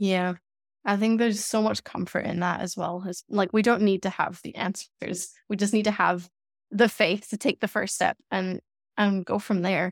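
A woman of medium pitch speaks at a moderate pace in a very clean recording with a silent background and a dry, close sound with no echo. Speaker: podcast host, business coach. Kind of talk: podcast interview. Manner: enthusiastic.

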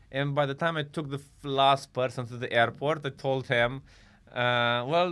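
A medium-pitched male voice with fairly even intonation. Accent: Romanian. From Romania. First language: Romanian. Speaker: comedian. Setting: studio.

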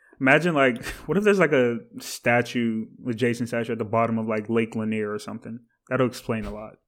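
In a plain, everyday voice, a man speaks at a fairly quick pace with medium pitch, ordinary pitch variation and big swings in loudness. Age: 20s. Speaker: podcast co-host. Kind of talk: casual chat.

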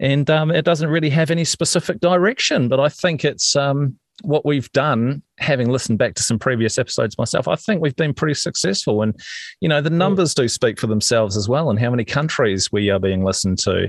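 A man's plain, everyday voice, fairly high in pitch, with lively intonation, very even loudness and a fairly quick pace, in a dry, close sound with no echo against a quiet background. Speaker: podcast host, former radio worker. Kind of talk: casual chat.

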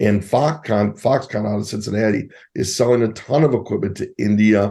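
Against a quiet background, a man with an American accent speaks at a fairly low pitch and a moderate pace in a dark, mellow tone with vocal fry and ordinary pitch variation. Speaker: entrepreneur and conservative commentator. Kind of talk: political talk radio interview.

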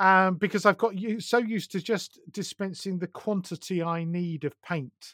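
Speaking at a moderate pace with hardly any pauses, a man with a southern English accent uses a high pitch and fairly even intonation, captured in a dry, close sound with no echo on a very clean recording with a silent background. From southern England. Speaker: podcaster and magazine producer. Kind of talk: casual podcast interview.

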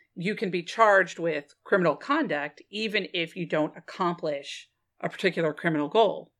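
This woman has a plain, everyday voice and an American accent, speaking at a moderate pace with a fairly low pitch and ordinary pitch variation. The recording is very clean, with a silent background. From Texas. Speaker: lawyer and podcast co-host. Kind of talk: casual chat with legal explanation.

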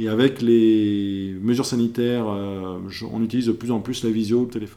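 A man with a dark, mellow tone and medium pitch speaks at a moderate pace with ordinary pitch variation on a very clean recording with a silent background. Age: 30s. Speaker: professional coach. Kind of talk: interview podcast.

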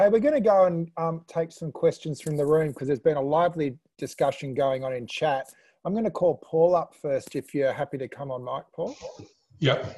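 Speaking in an Australian accent at a fairly quick pace, a man has a fairly high pitch, a dark, mellow tone, and ordinary pitch variation. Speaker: online panel host. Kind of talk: casual panel discussion. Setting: video call.

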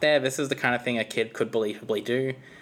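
A woman with an Australian accent speaks with a very deep, low pitch and ordinary pitch variation. The recording is very clean, with a silent background. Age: 20s. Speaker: gaming YouTuber, podcast guest. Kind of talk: casual chat.

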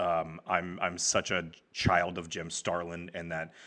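Against a quiet background, a man with a very deep, low pitch and a bright, sharp tone speaks at a fairly slow pace with fairly even intonation. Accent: American. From Texas, Garland. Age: 30s. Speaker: comic book writer. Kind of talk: casual chat.

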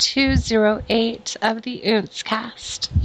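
A woman's flat, monotone voice at a very slow pace, with noticeable background noise. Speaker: podcast host. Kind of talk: casual chat.

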